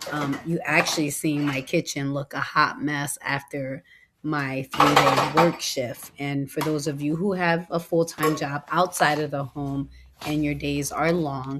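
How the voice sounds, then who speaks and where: Against noticeable background noise, the speech comes at a fairly slow pace in a monotone, flat intonation. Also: woman. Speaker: lifestyle vlogger. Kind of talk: casual voiceover vlog. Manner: conversational, hesitant with many ums.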